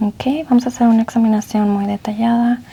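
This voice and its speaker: Soft-spoken and monotone, a woman with a fairly high pitch speaks at a moderate pace through noticeable background noise. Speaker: ASMR roleplay doctor. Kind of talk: medical exam ASMR roleplay.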